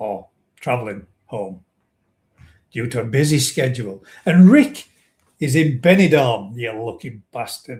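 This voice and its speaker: A somewhat breathy man of medium pitch talks at a fairly slow pace, leaving long, frequent pauses. His intonation is lively and his loudness swings widely. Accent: northern English. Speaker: koi pond live stream host. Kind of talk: live stream chat. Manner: casual chatty.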